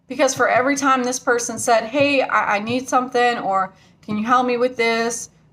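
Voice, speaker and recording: A woman is shouting loudly at a high pitch. Her intonation stays monotone and flat throughout. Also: moderate pace. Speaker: vlogger. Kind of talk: angry rant to camera. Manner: loud, yelling; emotional.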